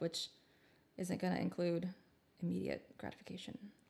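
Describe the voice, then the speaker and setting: Her voice sits at a medium pitch. This woman is captured in a very clean recording against a silent background. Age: 30s. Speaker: podcast co-host. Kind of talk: casual chat.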